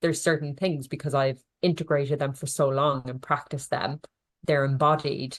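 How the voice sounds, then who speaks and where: A woman with an Irish accent speaks at a moderate pace, her very deep, low pitch held in a monotone, flat intonation. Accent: Irish, can't pronounce th sounds. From Ireland. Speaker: nutritionist. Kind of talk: podcast interview.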